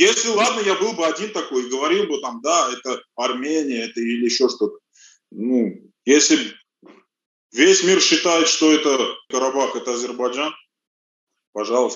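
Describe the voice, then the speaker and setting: With very wide pitch swings and long, frequent pauses, a man speaks at a moderate pace in a fairly high pitch. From Russia, Rostov. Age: 40s. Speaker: auto mechanic. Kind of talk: interview. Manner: halting.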